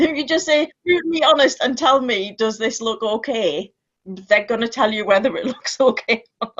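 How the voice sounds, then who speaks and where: A woman talks loudly at a high pitch with lively intonation. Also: moderate pace. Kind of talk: casual chat.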